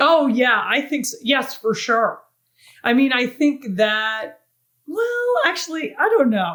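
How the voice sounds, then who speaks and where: Loud and at a very slow pace, a woman speaks at a high pitch with very wide pitch swings. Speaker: retired pro mountain biker. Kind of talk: interview. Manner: animated.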